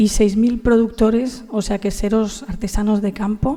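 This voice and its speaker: Here a woman talks at a moderate pace. Her dark, mellow voice holds a monotone, flat intonation. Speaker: agricultural federation director. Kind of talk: panel talk. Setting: conference panel. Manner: hesitant, many fillers.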